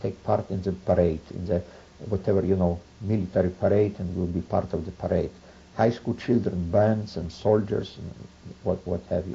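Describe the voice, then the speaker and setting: Somewhat breathy and very deep, this man's low voice moves at a moderate pace with fairly even intonation. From Poland, Boryslaw. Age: 70s. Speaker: Holocaust survivor. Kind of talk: oral history interview. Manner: halting, with many fillers.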